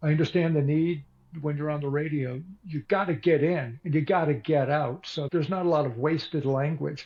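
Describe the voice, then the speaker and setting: A man talks fairly quickly in a somewhat breathy voice. His pitch is fairly high and his intonation fairly even. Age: 60s. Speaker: author and radio broadcaster. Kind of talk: interview.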